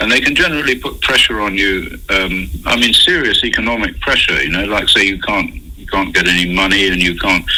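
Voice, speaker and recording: A man with an English accent speaks at a fairly quick pace, with hardly any pauses. The room echo is audible, and there is noticeable background noise. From England. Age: 70s. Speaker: scientist. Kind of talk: interview. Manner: halting.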